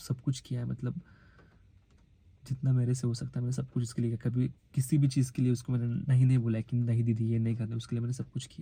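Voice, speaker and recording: Somewhat breathy and dark, mellow in tone, the voice moves at a moderate pace. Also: man. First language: Marathi (speaking Hindi). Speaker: vlogger. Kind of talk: emotional personal vlog. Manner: halting, hesitant.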